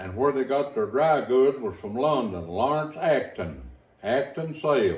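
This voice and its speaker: A man with an Appalachian accent against noticeable background noise. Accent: Appalachian Kentucky rural. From Eastern Kentucky, Owsley County. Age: 70s. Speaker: storyteller reminiscing. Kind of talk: oral history interview.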